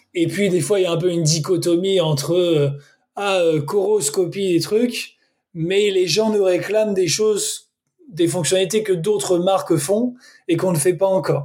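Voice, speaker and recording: Fairly slow and very even in loudness, a man speaks at a high pitch with fairly even intonation. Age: 30s. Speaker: sportswatch brand country manager. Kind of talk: interview.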